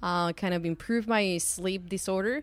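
On a very clean recording with a silent background, a woman with a Spanish accent speaks at a moderate pace, with a medium pitch and fairly even intonation. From Mexico, Guadalajara. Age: 30s. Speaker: chemist and startup founder. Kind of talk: interview.

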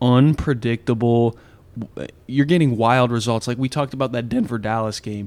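A man's unremarkable speaking voice, medium in pitch, with fairly even intonation. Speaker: podcast host. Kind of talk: casual interview chat.

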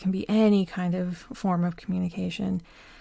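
Calm and somewhat breathy, a woman speaks at a medium pitch. She keeps a moderate pace. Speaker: podcast host. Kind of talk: solo podcast monologue, reflective. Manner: calm, reflective, slightly halting.

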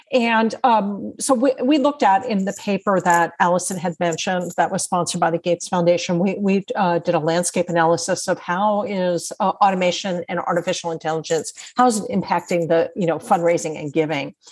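The pace here is fairly quick. It is an unremarkable speaking voice whose pitch varies in an ordinary way. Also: woman, fairly low pitch for a woman, hardly any pauses. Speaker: author and nonprofit technology trainer. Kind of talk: interview.

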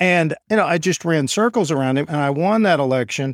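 With an American accent and an unremarkable speaking voice, a man talks at a moderate pace in a fairly high pitch, the recording very clean with a silent background and a dry, close sound with no echo. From Oklahoma (Enid). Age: 50s. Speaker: lawyer and law firm owner. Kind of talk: interview.

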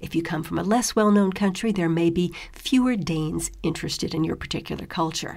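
A woman's fairly low voice in an American accent, a normal speaking voice with ordinary pitch variation. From US. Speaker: podcast host. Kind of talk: talk on living abroad.

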